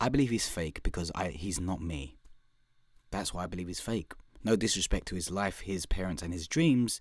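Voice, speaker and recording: With a London accent and an animated tone, the speaker leaves long, frequent pauses in a very clean recording with a silent background. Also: man. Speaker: podcast host and comedian. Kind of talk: podcast intro monologue. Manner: fast.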